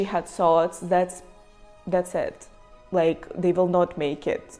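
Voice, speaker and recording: A woman at a medium pitch with a Ukrainian accent, at a very slow pace, with music in the background. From Ukraine, Kharkiv. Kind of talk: personal story to camera.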